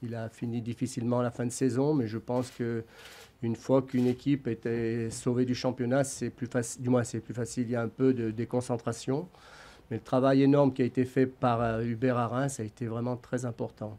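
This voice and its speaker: A man's fairly quick, monotone, flat delivery in a dark, mellow tone. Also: medium pitch for a man. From France. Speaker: football club adviser, former coach; former coach. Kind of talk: press conference. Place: meeting room. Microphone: podium.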